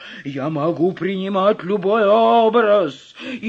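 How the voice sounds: What you hear is a natural reading voice.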